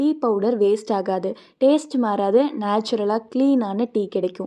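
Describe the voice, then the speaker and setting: A woman's voice, fairly high in pitch with a dark, mellow tone, shows ordinary pitch variation over a quiet background. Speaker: grandchild promoting family tea filter business. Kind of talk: promotional voice-over narration.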